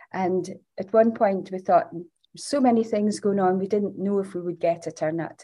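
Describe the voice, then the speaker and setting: With a northeast Scottish accent, a woman speaks at a moderate pace and medium pitch, her tone dark and mellow and her intonation fairly even. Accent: Scottish (north-east). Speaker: charity founder. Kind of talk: interview. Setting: recording room at charity building.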